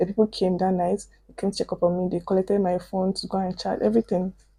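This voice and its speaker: A woman speaks at a medium pitch with a dark, mellow tone. Her pace is very fast. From Osun State, Nigeria. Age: 20s. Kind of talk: casual storytime talk to camera.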